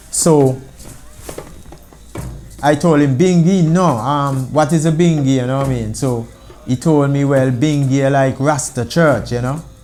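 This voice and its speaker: A man with an Antiguan accent speaks at a fairly high pitch and a fairly slow pace, with fairly even intonation and long, frequent pauses. Music plays in the background. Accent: Antiguan Creole. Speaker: founding member of a Rastafari organization. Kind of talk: interview answer.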